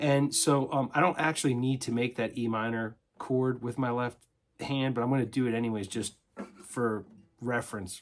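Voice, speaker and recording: A man's voice sits at a medium pitch and rises and falls in an ordinary way. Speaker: guitar teacher. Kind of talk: tutorial. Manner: fast; halting, many fillers.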